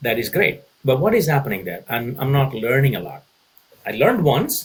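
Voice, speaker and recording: A man's voice with vocal fry at a fairly quick pace. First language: Tamil. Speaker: consulting executive. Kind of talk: podcast interview. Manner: halting, frequent repetitions; animated.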